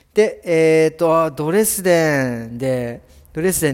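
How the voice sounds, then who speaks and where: A man with a plain, everyday voice speaks at a fairly slow pace. His fairly high pitch moves with lively intonation. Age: 40s. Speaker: hairdresser. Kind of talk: casual solo podcast. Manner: casual, chatty.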